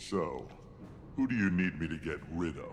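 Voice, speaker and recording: A man puts on a character voice, pitched very deep and low. Clear background noise can be heard. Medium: video game. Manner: blunt, clipped.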